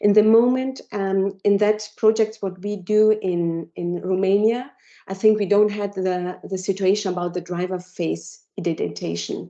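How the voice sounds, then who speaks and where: A woman with a German accent speaks at medium pitch in a dark, mellow tone. Her intonation is fairly even, her pace moderate, with hardly any pauses. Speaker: technology company presenter. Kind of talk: Q&A after a presentation. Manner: halting. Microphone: cutting out.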